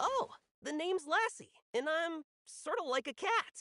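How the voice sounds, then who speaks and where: Someone uses a put-on character voice with extremely high pitch at a moderate pace. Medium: video game. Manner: sly, playful.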